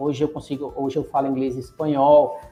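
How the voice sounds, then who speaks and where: A man talking at a very fast pace over music in the background. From Bahia, Brazil. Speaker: logistics specialist and podcaster. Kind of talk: podcast interview.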